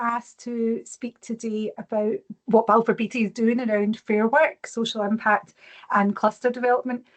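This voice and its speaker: A fairly high-pitched woman's voice with a Glaswegian accent, monotone and flat, in a dry, close sound with no echo. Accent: Glaswegian Scottish. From Scotland, Glasgow. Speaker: corporate social impact lead. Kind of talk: presentation. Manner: fast.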